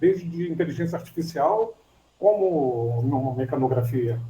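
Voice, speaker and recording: In a dark, mellow tone, a man delivers his words fairly slowly. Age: 60s. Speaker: student in an online class. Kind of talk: class discussion. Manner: halting.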